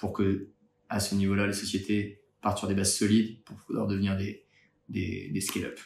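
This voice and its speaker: Somewhat breathy and moderately paced, the delivery keeps a flat, monotone intonation. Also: man. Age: 30s. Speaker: startup founder and accountant. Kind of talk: candidacy pitch video. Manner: hesitant with frequent fillers.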